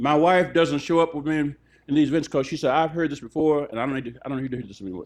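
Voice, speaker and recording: With an American accent, a man speaks at a very fast pace in a fairly high pitch with ordinary pitch variation. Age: 70s. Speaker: judge and preacher giving a public lecture. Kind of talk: public lecture Q&A. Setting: restaurant event with live audience. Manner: animated.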